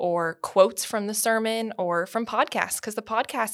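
Recorded very cleanly against a silent background, a woman talks in a normal speaking voice at a moderate pace. Her pitch is fairly high and her intonation fairly even. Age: 20s. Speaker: church communications staff. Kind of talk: casual chat.

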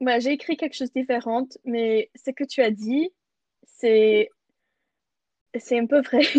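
A woman speaks very slowly, with long, frequent pauses and a high pitch that shows ordinary variation. The sound is dry and close, with no echo. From Canada. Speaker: podcast co-host. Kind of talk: casual chat.

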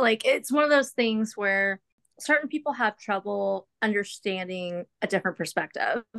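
Heard with a dry, close sound and no echo, a woman with a normal speaking voice talks at a moderate pace, with a fairly high pitch and lively intonation. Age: 30s. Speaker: podcast co-host. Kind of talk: casual interview chat.

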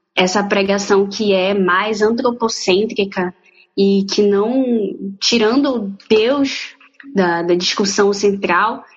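A woman's medium-pitched voice at a very slow pace with fairly even intonation. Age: 20s. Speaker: law student. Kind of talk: casual chat. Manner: halting.

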